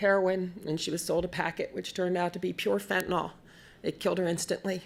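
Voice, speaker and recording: An ordinary speaking voice at a fairly quick pace with fairly even intonation. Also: woman. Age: 60s. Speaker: grandmother caregiver, family lawyer. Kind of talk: testimony.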